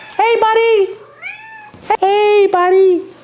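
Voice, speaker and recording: A man's put-on character voice at extremely high pitch. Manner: sweet, coaxing.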